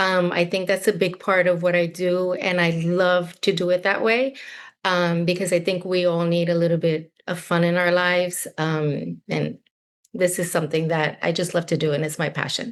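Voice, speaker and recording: A woman with an ordinary speaking voice, fairly low in pitch, talks at a moderate pace with fairly even intonation. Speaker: confidence workshop coach, former actor and director. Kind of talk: group video call discussion.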